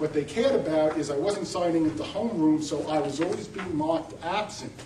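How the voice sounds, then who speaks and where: With a New York accent, a man talks at a moderate pace and fairly high pitch, amid noticeable background noise and audible room echo. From New York City. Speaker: college representative. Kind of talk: panel presentation.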